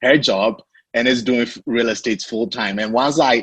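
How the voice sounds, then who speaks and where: A man speaks at a fairly slow pace. He has an African accent. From Ghana. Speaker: real estate investor. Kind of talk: podcast interview.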